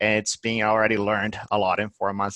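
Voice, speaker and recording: In a dry, close sound with no echo, a man speaks at a fairly low pitch with monotone, flat intonation. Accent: Portuguese. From Brazil. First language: Portuguese. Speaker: head of marketing. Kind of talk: interview.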